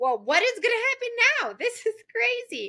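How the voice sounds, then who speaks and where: The recording is dry and close with no echo as a woman talks at a fairly quick pace. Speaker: romance author. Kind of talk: casual chat. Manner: fast.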